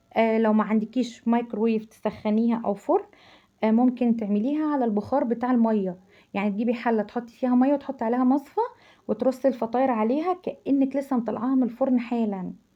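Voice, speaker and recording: A woman's fairly high, animated voice with an Egyptian accent. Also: ordinary pitch variation. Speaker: cooking channel host. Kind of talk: cooking tutorial. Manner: halting, repeats syllables; chatty, animated.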